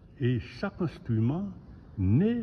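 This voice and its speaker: A man speaks at a very slow pace in a somewhat breathy voice, his pitch swinging very widely. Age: 80s+. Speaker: family business owner. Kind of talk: interview answer.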